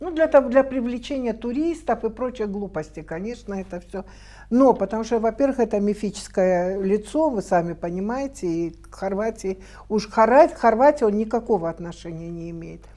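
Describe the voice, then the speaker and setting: At a moderate pace, a woman talks with lively intonation in a fairly high voice with a dark, mellow tone. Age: 60s. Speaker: documentary film director and producer. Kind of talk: TV studio interview. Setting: TV studio. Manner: halting, many fillers.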